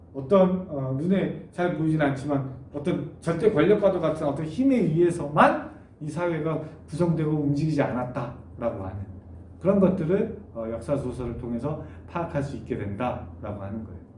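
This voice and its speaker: A man with a fairly high pitch talks at a moderate pace with lively intonation. Noticeable background noise and audible room echo are present. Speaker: university lecturer. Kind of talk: online lecture. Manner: many filler sounds.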